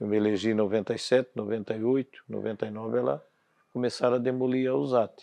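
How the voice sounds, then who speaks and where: A man speaks at a very fast pace, his pitch sitting in the middle range. His tone is dark and mellow, with ordinary pitch variation. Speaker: former local politician and businessman. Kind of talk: documentary interview. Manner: halting.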